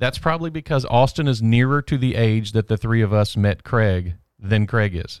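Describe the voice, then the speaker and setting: A man with an ordinary speaking voice talks at a moderate pace in a medium pitch with ordinary pitch variation, on a very clean recording with a silent background. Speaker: pastor. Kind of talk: casual chat.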